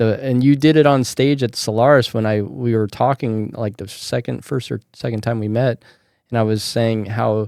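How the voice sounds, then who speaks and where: A man with an American accent and a normal speaking voice, medium in pitch with fairly even intonation, on a very clean recording with a silent background. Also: moderate pace. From Colorado. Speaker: podcast host. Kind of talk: casual chat.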